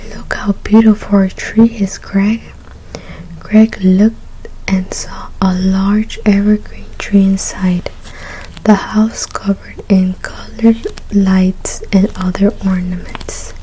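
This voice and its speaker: A soft-spoken woman talks at a medium pitch in a gentle tone with monotone, flat intonation and a very slow pace. Noticeable background noise runs underneath. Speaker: ASMR creator. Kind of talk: ASMR story reading, soft spoken. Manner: soft-spoken, gentle.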